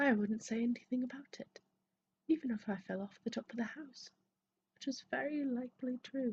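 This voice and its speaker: A woman whispers, soft-spoken, at a moderate pace. The sound is dry and close with no echo. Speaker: ASMR creator. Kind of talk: soft-spoken ASMR book reading. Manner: soft-spoken, whispery, relaxing.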